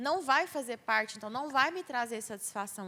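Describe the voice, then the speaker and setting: A woman projects a raised, high-pitched voice with lively intonation and a bright, sharp tone. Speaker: speaker on mental health at church youth event. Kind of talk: talk to church youth group. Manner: loud.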